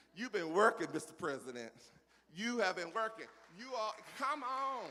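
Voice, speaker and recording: The speaker has an animated tone and a Southern US accent. Noticeable background noise sits behind the voice. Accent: southern drawl. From US South, South Carolina (Pelzer, near Greenville). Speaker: keynote speaker. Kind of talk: motivational speech.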